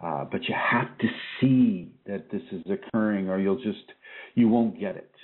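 A man talks at a fairly slow pace with big swings in loudness. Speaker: spiritual teacher hosting an internet radio show. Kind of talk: spiritual teaching talk show. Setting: internet radio with call-ins.

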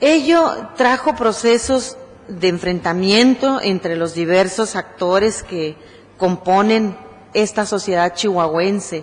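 A woman speaks at a very slow pace with lively intonation. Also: medium pitch for a woman. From Mexico. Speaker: human rights activist; guest. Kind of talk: acceptance speech. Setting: city council chamber. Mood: earnest, grateful, serious. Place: hall. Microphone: podium.

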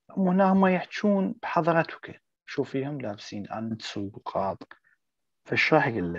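A man with an Arabic accent speaks at a very slow pace and a fairly high pitch. His loudness swings a lot, and his pitch swings very widely. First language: Arabic (speaking German). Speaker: German language teacher. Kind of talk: online language lesson.

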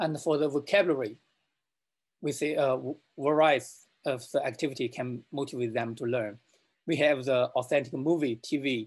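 Fairly even intonation marks a man's medium-pitched voice with a slightly husky edge. He keeps a moderate pace.

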